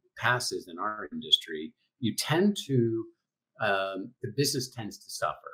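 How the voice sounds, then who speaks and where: A man speaks with a New England accent. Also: big swings in loudness. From New England, US. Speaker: sales training executive. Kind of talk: interview. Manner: fast.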